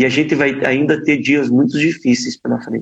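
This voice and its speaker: A man speaks at a moderate pace in a fairly high pitch. It is an ordinary speaking voice. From Brazil, Paraná (Ponta Grossa). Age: 30s. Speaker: politician. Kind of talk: interview.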